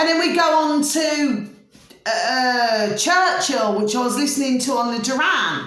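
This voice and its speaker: A woman with a Birmingham accent speaks fairly slowly in a high, animated voice with lively intonation, and audible room echo. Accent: Brummie. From Birmingham, England. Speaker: astrology vlogger. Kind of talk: casual monologue.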